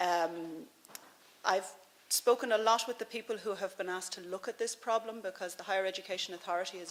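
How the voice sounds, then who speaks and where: Fairly even intonation in an Irish accent. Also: woman. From Ireland. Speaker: policy advisor, former veterinary surgeon. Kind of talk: conference speech. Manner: halting, with fillers and repetitions.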